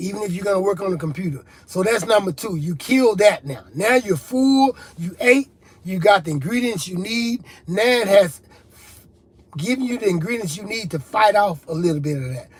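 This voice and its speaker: Over noticeable background noise, a man with a high-pitched, animated voice talks at a moderate pace, his loudness swinging widely. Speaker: rap artist and recovery talk show host. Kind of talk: motivational talk on addiction, live stream. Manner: animated, repetitive preaching style.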